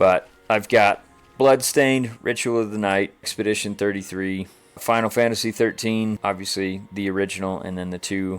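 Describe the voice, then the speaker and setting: The speech moves at a moderate pace with fairly even intonation on a very clean recording with a silent background. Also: man. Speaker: gaming streamer. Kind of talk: let's play commentary. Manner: relaxed, conversational.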